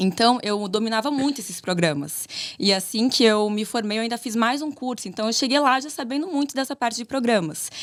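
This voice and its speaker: A woman speaks with a fairly high pitch at a fairly quick pace. Her intonation is lively. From southern Brazil, Santa Catarina (Chapecó). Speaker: architect, business co-owner. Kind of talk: casual interview chat.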